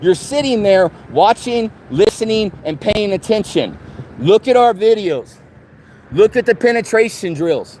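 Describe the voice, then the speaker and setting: A loud, high-pitched man with lively intonation at a fairly slow pace, in a dry, close sound with no echo. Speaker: activist livestreamer. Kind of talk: street livestream protest speech. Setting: outdoors outside a TV station. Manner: impassioned.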